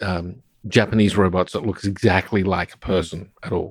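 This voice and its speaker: On a very clean recording with a silent background, a man with an Australian accent speaks fairly slowly at a fairly low pitch with fairly even intonation. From South Australia (Adelaide). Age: 60s. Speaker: roboticist. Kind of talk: interview conversation. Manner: hesitant, many fillers.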